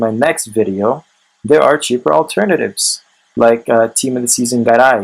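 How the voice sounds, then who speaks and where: A man speaks at a moderate pace and medium pitch. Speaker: gaming YouTuber. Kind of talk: video game review to camera. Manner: trying to sound enthusiastic.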